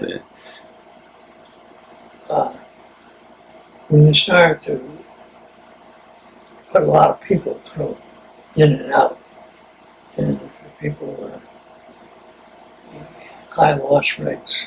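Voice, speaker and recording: An American-accented man speaks at a very slow pace, with long, frequent pauses. Noticeable background noise runs underneath. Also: big swings in loudness. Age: 80s+. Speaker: war veteran. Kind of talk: interview answer.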